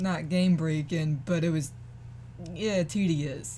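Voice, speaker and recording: Speech unfolds at a very slow pace over light background noise. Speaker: gamer streamer. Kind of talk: casual gameplay commentary. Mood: mildly annoyed, relaxed. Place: home room.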